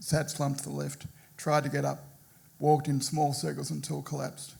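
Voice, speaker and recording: The speaker is a man with an Australian accent. He keeps a moderate pace. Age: 60s. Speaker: stroke survivor, former optometrist. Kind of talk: panel discussion.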